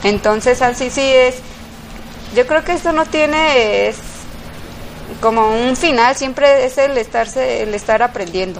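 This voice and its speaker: Against noticeable background noise, a woman with a high pitch speaks fairly slowly with ordinary pitch variation and long, frequent pauses. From Mexico, Guadalajara. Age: 30s. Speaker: café owner. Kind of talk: interview. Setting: café. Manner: halting.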